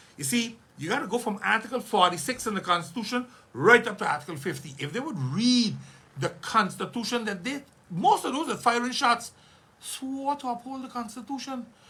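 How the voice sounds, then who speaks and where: Over noticeable background noise, the speaker uses a raised, projected voice with an animated tone. The pace is fairly quick and the intonation lively. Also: man, extremely high pitch for a man. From St. Maarten. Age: 60s. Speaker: politician. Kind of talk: radio interview.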